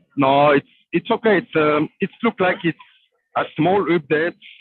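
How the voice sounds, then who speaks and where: A man with a non-native accent speaks fairly slowly, with ordinary pitch variation. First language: not English. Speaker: crypto developer. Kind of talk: casual chat. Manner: halting.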